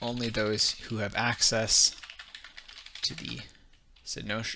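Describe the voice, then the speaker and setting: A man speaks in a strong Canadian accent at a medium pitch and a very slow pace. His intonation is monotone and flat, with noticeable background noise. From Canada. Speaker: streamer leading worldbuilding session. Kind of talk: casual live stream chat. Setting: live stream. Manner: hesitant, many fillers.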